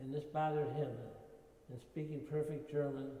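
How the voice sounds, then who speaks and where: A man with a dark, mellow tone speaks in a flat monotone at a moderate pace, his pitch fairly high. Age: 80s+. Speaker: war veteran. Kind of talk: interview answer.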